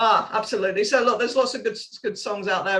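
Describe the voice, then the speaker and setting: With a British accent, a woman speaks at a very fast pace with fairly even intonation. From UK. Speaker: parenting coach and author. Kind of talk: podcast interview.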